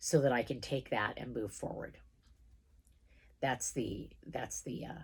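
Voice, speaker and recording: Using vocal fry and a very deep, low pitch, a woman speaks at a fairly slow pace with long, frequent pauses and big swings in loudness. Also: ordinary pitch variation. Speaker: tarot card reader. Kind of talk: live tarot reading. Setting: livestream video. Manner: casual, chatty.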